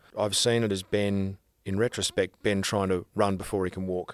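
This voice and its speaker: A man with an Australian accent talks at a fairly quick pace and a fairly low pitch. The sound is dry and close with no echo, on a very clean recording with a silent background. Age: 40s. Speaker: actor. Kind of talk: casual chat.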